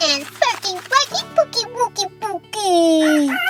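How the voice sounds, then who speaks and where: A squeaky, extremely high put-on character voice at a fairly slow pace over loud music in the background. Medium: read story. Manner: giddy, silly.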